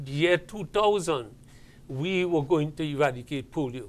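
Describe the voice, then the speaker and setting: Using ordinary pitch variation, a man speaks at a fairly slow pace. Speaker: guest. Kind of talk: interview answer. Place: studio. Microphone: lapel.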